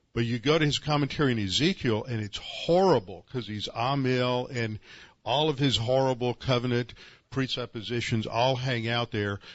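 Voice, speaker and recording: In a normal speaking voice, a man talks at medium pitch and moderate pace, his pitch varying in an ordinary way. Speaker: seminary conference host and teacher. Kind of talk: introduction and Q&A. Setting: conference hall with audience.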